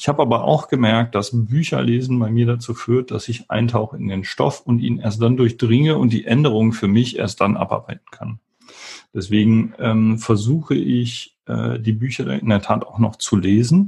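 The tone of this man's voice is dark and mellow. It has a somewhat breathy quality. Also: medium pitch for a man, ordinary pitch variation, moderate pace. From western Germany, Wuppertal. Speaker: tech company founder and CEO. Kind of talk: interview. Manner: hesitant, many filler sounds.

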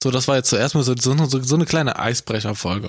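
On a very clean recording with a silent background, a man speaks at a medium pitch in a normal speaking voice. His pace is fairly quick, with ordinary pitch variation. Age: 20s. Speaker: podcast co-host. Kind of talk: casual chat.

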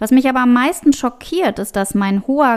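A woman talks at a moderate pace in a normal speaking voice. Her pitch varies in an ordinary way. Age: 40s. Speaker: mental and business coach. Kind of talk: solo podcast monologue.

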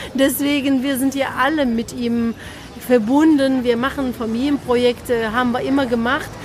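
A woman speaks at a high pitch in a monotone, flat intonation. Noticeable background noise runs underneath. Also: moderate pace. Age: 50s. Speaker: actress and director. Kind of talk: casual interview.

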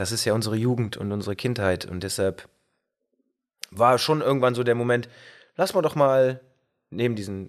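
Here a man speaks at a medium pitch and moderate pace with ordinary pitch variation. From Bergisch Gladbach, near Cologne, Germany. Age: 30s. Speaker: band singer and guitarist. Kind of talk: casual interview chat. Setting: pub. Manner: hesitant, many fillers.

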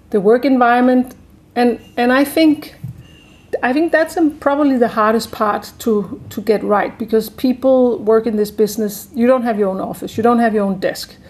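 A woman speaks with a Danish accent. Her pitch variation is ordinary. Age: 50s. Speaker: chef and restaurant entrepreneur. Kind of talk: interview.

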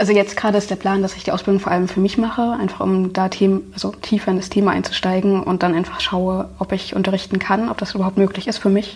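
Talking at a very fast pace, a woman with a medium pitch sounds somewhat breathy, her intonation monotone and flat. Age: 20s. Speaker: video activist and YouTuber. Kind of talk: conversational interview.

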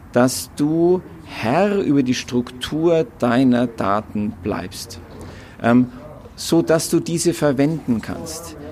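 With lively intonation, a man talks at a medium pitch in a slightly mellow tone.

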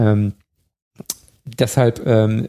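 A man's somewhat breathy voice, dark and mellow in tone, with a dry, close sound and no echo. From Bavaria, Chiemgau. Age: 30s. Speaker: electromobility expert. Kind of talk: casual interview.

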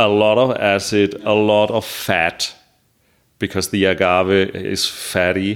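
In a flat monotone, a man with a fairly low pitch talks very slowly at a very even loudness. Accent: German. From Germany. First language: German. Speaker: mezcal importer. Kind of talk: interview.

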